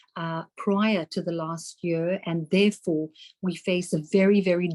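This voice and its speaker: Speaking at a moderate pace with a South African accent, a woman keeps a monotone, flat intonation and a dark, mellow tone. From South Africa, Cape Town. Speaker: politician. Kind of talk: debate opening statement. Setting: online debate.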